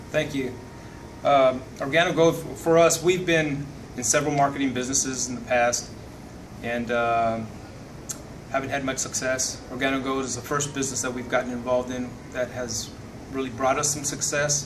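Noticeable background noise sits behind a man talking at a moderate pace. His intonation is fairly even, broken by long, frequent pauses. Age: 50s. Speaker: network marketing distributor. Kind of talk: testimony. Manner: halting. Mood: grateful, sincere.

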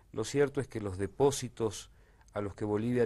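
At a moderate pace, a man speaks in a plain, everyday voice with a fairly low pitch. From Argentina. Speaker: documentary filmmaker and political analyst; political analyst. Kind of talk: political discussion. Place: studio. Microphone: lapel.

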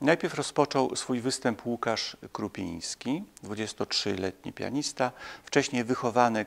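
Very slow speech from a man, pitch varying in an ordinary way. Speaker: music commentator. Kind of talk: commentary. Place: home room. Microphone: lapel.

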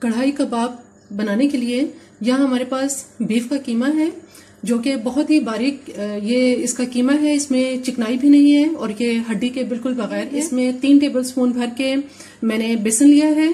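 Over audible room echo, a woman with a high pitch and a dark, mellow tone talks at a moderate pace with ordinary pitch variation.

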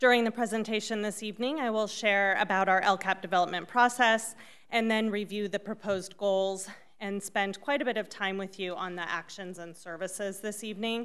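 A woman talks at a fairly quick clip, her intonation staying fairly even. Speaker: school district administrator. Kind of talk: formal presentation. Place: meeting room.

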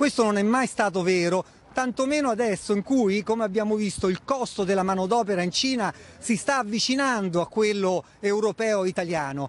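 Keeping his loudness very even, a man speaks at a high pitch and a fairly quick pace with ordinary pitch variation. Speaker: foreign correspondent. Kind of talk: news reporting. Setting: live link from Shanghai.

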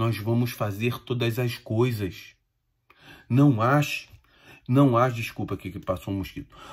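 Against a quiet background, a man speaks with a somewhat breathy voice and fairly even intonation. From Brazil. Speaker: Umbanda medium and spiritual teacher; spiritual teacher. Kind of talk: informal spiritual talk to followers. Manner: conversational, addresses listeners directly. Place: home room. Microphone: phone near.

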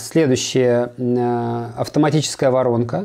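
A dark, mellow tone with ordinary pitch variation comes at a moderate pace over a quiet background. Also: man. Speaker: business coach. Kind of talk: coaching conversation. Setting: video call. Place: office.

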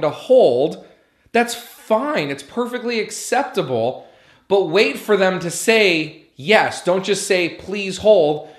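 A man speaks at a fairly slow pace against a quiet background, with audible room echo. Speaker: restaurant business coach. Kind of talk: tutorial.

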